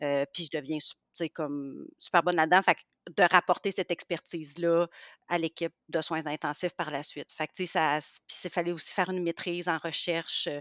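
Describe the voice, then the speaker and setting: Speech at a moderate pace comes in a flat monotone, with a dry, close sound, no echo and a quiet background. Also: woman, fairly low pitch for a woman. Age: 40s. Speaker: pediatrician. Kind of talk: casual interview.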